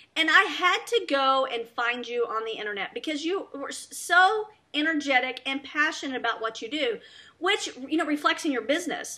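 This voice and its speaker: In a Southern US accent, a woman projects a raised voice at a moderate pace, her high pitch bright and sharp in tone with very wide pitch swings. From US South. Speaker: talk show host. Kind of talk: interview.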